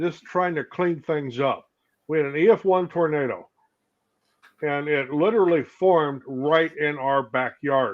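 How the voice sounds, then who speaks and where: An ordinary speaking voice with an American accent and ordinary pitch variation. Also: man, fairly high pitch for a man. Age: 60s. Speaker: woodworker, panel co-host. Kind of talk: casual chat.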